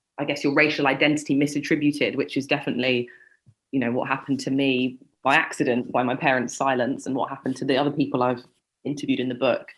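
A woman in a London accent, her pitch very deep and low. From London suburb, England. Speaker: journalist and author. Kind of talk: interview.

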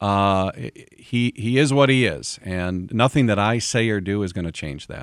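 Using a plain, everyday voice, a man with an American accent speaks at a moderate pace with a fairly low pitch and lively intonation. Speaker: local official and former state lawmaker. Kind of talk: radio interview. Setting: studio.

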